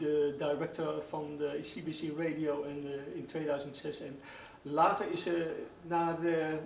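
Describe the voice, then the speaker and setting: A man speaks fairly high in pitch with fairly even intonation. The recording carries audible room echo and noticeable background noise. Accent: Dutch. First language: Dutch. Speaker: radio host. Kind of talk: radio interview. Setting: radio studio. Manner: halting, many fillers.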